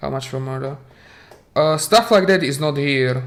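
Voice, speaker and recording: A man with a Slovak accent speaks with lively intonation. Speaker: video game streamer. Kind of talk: live stream commentary. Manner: halting, with repetitions.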